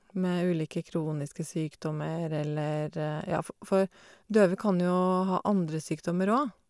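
The voice has a dark, mellow tone and moves at a fairly slow pace. The sound is dry and close with no echo, in a very clean recording over a silent background. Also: woman. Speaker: deaf cancer patient. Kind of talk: casual conversation.

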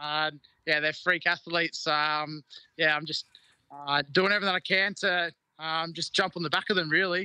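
A man with an Australian accent speaks at a moderate pace, high in pitch with a bright, sharp tone and monotone, flat intonation, the sound dry with no echo over a quiet background. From Queensland, Australia. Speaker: rugby league player. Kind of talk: interview. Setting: video call. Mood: relaxed, cheerful. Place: garden. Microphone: video call.

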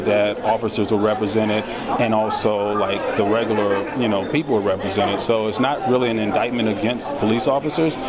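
A man talks with hardly any pauses as crowd noise fills the background. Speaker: film director. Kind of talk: red carpet interview. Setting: outdoors at premiere event. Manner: hesitant, many fillers. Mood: thoughtful, earnest. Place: hall. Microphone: handheld.

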